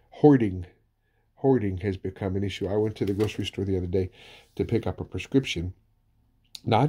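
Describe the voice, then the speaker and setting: Somewhat breathy and fairly low, the man's voice has a dark, mellow tone and moves at a fairly quick pace. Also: very clean recording, silent background. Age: 60s. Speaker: pastor. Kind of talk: sermon.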